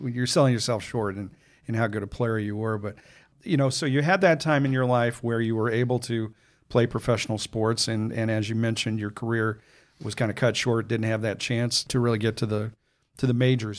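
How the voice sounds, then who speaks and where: A man with a normal speaking voice and an American accent, medium pitch, fairly even intonation and a fairly quick pace, in a very clean recording with a silent background. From Chicago. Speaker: trade magazine podcast host. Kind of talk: interview. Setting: in guest's office.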